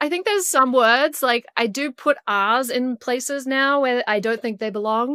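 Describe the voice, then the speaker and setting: A woman speaks in a high pitch with an American accent, at a moderate pace with hardly any pauses. Her tone is bright and sharp, and the sound is dry and close with no echo. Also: ordinary pitch variation. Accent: antipodean accent shifting toward American. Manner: speaking about their own fading accent.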